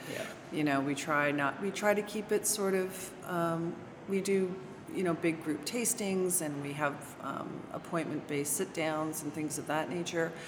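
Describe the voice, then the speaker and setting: Audible room echo and noticeable background noise fill the recording. A woman speaks at a fairly low pitch. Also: ordinary pitch variation, moderate pace. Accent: slight Canadian. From Canada, Toronto. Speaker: winery sales director. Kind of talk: interview. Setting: at a winery.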